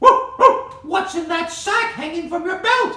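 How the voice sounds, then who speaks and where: A squeaky, put-on character voice with an extremely high pitch speaks at a fairly slow pace with a slight echo. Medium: read story. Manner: barks between words.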